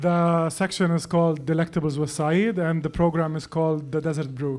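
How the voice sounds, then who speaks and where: In a Lebanese accent, a man talks fairly quickly in a fairly high, flat, monotone voice. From Lebanon. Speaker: personal chef. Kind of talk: casual chat.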